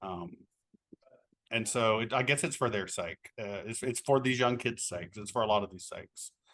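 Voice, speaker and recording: A man with a medium-pitched voice speaks at a moderate pace, his loudness swinging widely. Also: ordinary pitch variation. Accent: Appalachian. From Appalachia, Kentucky. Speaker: author and teacher. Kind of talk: interview.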